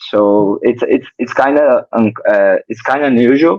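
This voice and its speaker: In a Portuguese accent, a man speaks at medium pitch and a very slow pace. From Brazil. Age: 20s. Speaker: professional tennis player. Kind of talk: interview. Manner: halting.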